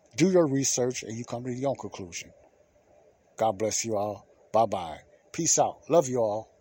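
Dark and mellow, this man's medium-pitched voice has a slightly husky edge. He keeps a moderate pace with lively intonation.

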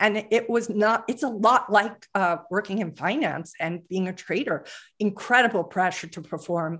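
An unremarkable speaking voice from a woman, medium in pitch, at a moderate pace against a quiet background. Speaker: performance coach for traders and executives. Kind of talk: podcast interview.

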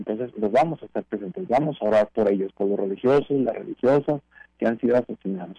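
A man's dark, mellow voice at medium pitch, very fast and with lively intonation, in a dry, close sound with no echo. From Mexico, La Laguna region (Torreón). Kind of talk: radio interview.

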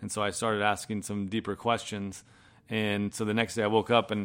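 A man with an American accent and a fairly low pitch speaks at a fairly quick pace in a very clean recording with a silent background. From Massachusetts (Boston area), then Florida. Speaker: former professional golfer. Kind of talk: testimony. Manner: casual, halting with fillers.

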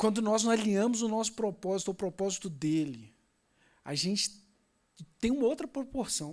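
A high-pitched man with lively intonation on a very clean recording, the background silent. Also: moderate pace. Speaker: preacher. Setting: church. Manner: fervent, with repeated fillers and emphatic repetition.

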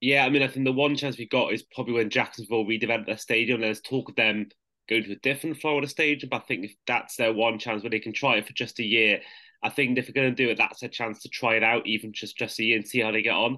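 In a British accent, a man talks at a very fast pace with a bright, sharp tone and medium pitch. His intonation is fairly even, and the background is quiet. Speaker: podcast host. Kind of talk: casual interview chat.

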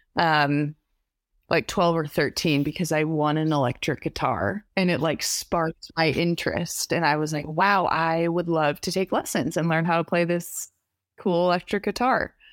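A woman speaks in a normal speaking voice with an American accent, her pitch fairly low and ordinary in its variation. She keeps a moderate pace on a very clean recording with a silent background. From New York. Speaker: indie singer-songwriter. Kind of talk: casual interview chat.

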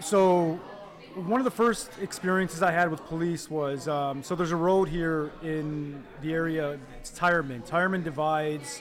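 Audible room echo surrounds a man with a Detroit accent. His fairly high pitch shows ordinary variation. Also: moderate pace. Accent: Detroit American English. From Detroit, Michigan. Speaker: law professor. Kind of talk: interview.

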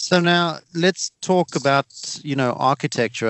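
The pitch of this man's voice varies in an ordinary way. He talks fairly slowly. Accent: South African. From South Africa. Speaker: podcast host. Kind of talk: casual interview.

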